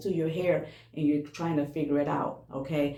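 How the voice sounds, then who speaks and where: A woman speaks at a very deep, low pitch, with audible echo from the room. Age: 60s. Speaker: hair care vlogger. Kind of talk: casual tutorial vlog. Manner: conversational, repetitive with frequent okay.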